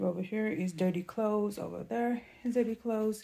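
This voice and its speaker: A woman speaks in a dark, mellow tone. Her voice is somewhat breathy. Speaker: home vlogger. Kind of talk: casual vlog chat. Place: home room. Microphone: phone near.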